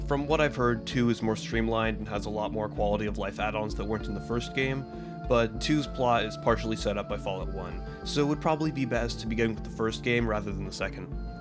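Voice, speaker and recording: A man with a very deep, low pitch speaks at a very fast pace, with hardly any pauses and very wide pitch swings. Music plays in the background. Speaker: gaming video essayist. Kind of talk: video essay narration.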